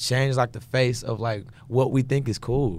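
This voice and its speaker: In a very clean recording with a silent background, a man uses an ordinary speaking voice at a medium pitch, a moderate pace and fairly even intonation. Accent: American. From Houston, Texas. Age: 20s. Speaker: gospel singer and producer. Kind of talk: casual interview chat.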